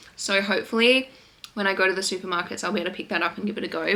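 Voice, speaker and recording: A woman talks at a very fast pace amid noticeable background noise. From Western Australia. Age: 20s. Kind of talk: casual talk to camera.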